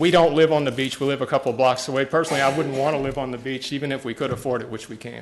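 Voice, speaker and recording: This man talks at a very fast pace with hardly any pauses, at a medium pitch. His intonation stays fairly even while his loudness swings widely. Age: 60s. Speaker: public commenter at county meeting. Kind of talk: public comment speech. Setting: county commission meeting room.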